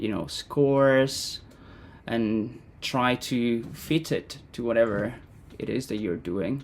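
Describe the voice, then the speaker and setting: A man with an Italian accent speaks at a very slow pace and medium pitch. The recording is very clean, with a silent background. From Italy. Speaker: composer and educator. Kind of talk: interview.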